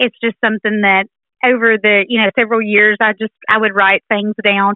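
A woman speaks with a Southern US accent at a moderate pace. Her pitch is fairly high. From Alabama. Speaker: teacher and author. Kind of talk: radio interview, conversational. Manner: friendly, thoughtful, frequent filler words.

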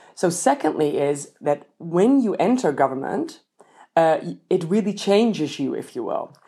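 With lively intonation, the speaker uses a Dutch accent and a dark, mellow tone. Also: woman. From Netherlands. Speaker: political science professor. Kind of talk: interview. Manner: halting, frequent repetitions.

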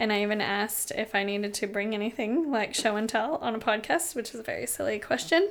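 Talking very fast with hardly any pauses, a woman with an American accent speaks at a fairly high pitch with ordinary pitch variation over noticeable background noise. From US Pacific Northwest, Seattle. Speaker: restaurant owner. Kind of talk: casual chat. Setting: host's home.

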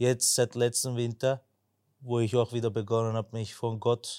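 On a very clean recording with a silent background and a dry, close sound with no echo, a man speaks at a moderate pace. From Vienna, Austria (Turkish family). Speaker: church member, earthquake relief volunteer. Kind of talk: testimony.

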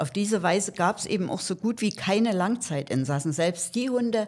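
A woman with a medium pitch and somewhat breathy voice talks at a moderate pace with lively intonation, on a very clean recording with a silent background. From Saxony, Germany. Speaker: animal welfare volunteer. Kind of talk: interview.

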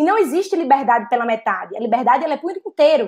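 This woman's voice is high-pitched with lively intonation. She talks at a fairly quick pace. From Natal, Rio Grande do Norte, Brazil. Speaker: policy director and doctoral student. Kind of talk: online panel discussion.

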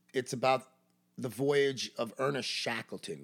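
A man talks with a New York accent. His pace is very slow. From Brooklyn, New York City. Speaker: baseball coach. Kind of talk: casual chat.

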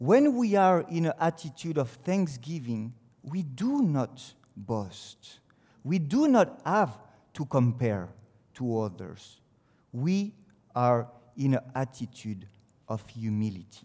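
In a French accent, a man of medium pitch talks very slowly with a dark, mellow tone, very wide pitch swings, and long, frequent pauses. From France. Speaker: teacher giving a devotional. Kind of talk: devotional talk. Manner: halting.

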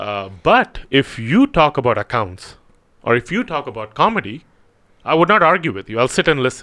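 A man speaks at a moderate pace with a bright, sharp tone and a fairly high pitch. His pitch swings very widely on a very clean recording with a silent background. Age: 30s. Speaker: clinical hypnotherapist. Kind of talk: casual interview.

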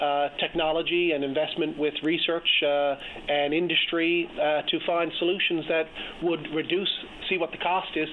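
With a Newfoundland accent, a man speaks in a fairly high pitch and a monotone, flat intonation over noticeable background noise. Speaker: provincial politician. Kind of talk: political interview. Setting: phone call.

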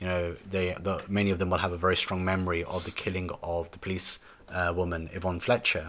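On a very clean recording with a silent background, a man with a very deep, low pitch speaks in a flat monotone. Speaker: human rights lawyer and researcher. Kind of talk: interview. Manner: gesticulating, intonated.

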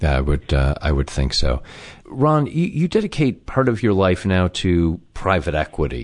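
Against a quiet background, a man speaks in a very deep, low pitch with vocal fry. His pitch swings very widely at a moderate pace. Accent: American. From US Midwest, Chicago. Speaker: podcast host, interviewer. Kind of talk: interview.

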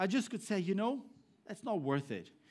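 A man with a Brazilian accent talks at a fairly quick pace. His pitch swings very widely. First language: Portuguese. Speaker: pastor. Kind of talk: sermon. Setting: church.

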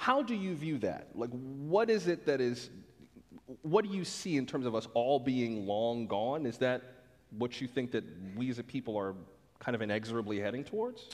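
At a moderate pace, a man with a normal speaking voice and medium pitch uses lively intonation. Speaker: radio host and moderator. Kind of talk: onstage interview. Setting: stage with audience.

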